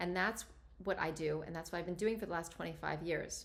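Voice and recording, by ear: A woman talks at a fairly quick pace with a fairly low voice, vocal fry and ordinary pitch variation.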